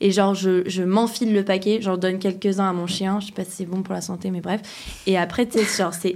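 Fairly quick and flat, a woman's voice at medium pitch runs in a monotone. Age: 20s. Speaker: musician. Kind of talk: casual chat.

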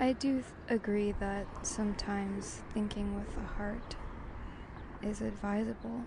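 The speech moves at a fairly slow pace, with noticeable background noise and audible room echo. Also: woman. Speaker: podcast host. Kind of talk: descriptive monologue. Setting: outdoors at a coffee shop on a busy street. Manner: casual, halting with fillers.

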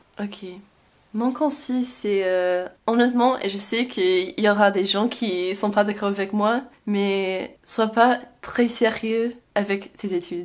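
A woman with an English accent speaks at a very slow pace, her intonation fairly even. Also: medium pitch for a woman. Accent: English-speaking accent in French. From Louisiana, Baton Rouge. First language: English (speaking French). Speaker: student abroad. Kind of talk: casual interview. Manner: halting.

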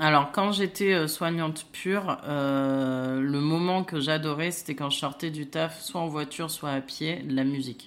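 A woman speaks at a fairly slow pace in a very deep, low pitch, with ordinary pitch variation and hardly any pauses. The recording is very clean, with a silent background. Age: 30s. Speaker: nurse turned trainer. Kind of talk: casual chat. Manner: hesitant, many fillers.

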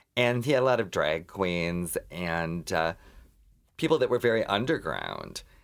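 In a very clean recording with a silent background, a man with an American accent talks at a fairly slow pace, his fairly low pitch moving in very wide swings. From Minnesota. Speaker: drag performer and writer. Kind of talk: casual chat.

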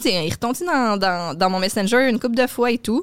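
Dry and close with no echo, a woman's fairly high voice moves at a fairly slow pace. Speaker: comedy booking agency coordinator and podcast co-host. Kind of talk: casual chat.

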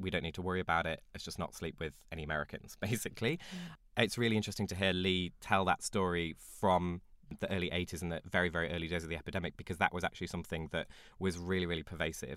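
A man with a British accent talks at a very fast pace. His very deep, low voice keeps a fairly even intonation. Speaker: podcast co-host. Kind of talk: casual chat.

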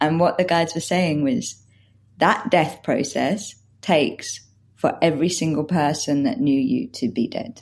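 A woman uses a normal speaking voice with a fairly low pitch. She talks at a fairly slow pace with lively intonation. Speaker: podcast co-host. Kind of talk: casual conversation.

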